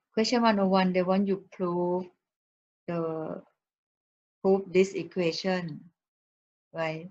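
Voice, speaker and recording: A woman talks at a very slow pace with fairly even intonation. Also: long, frequent pauses. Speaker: math teacher. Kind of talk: lecture.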